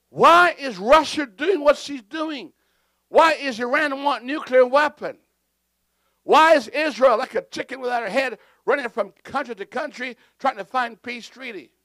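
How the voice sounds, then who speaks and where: An extremely high-pitched male voice, raised and projected, bright and sharp in tone, with ordinary pitch variation and big swings in loudness, dry and close with no echo on a very clean recording with a silent background. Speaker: pastor. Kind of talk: sermon. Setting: church with congregation. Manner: deliberately slow for clarity.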